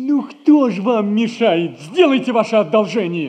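Using a put-on character voice, a man speaks fairly slowly in a high pitch with big pitch swings and a slightly mellow tone.

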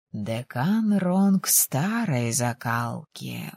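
Putting on a character voice, a woman speaks very slowly at an extremely low pitch with big pitch swings, vocal fry, a slightly husky edge and a slightly mellow tone, in a dry, close sound with no echo.

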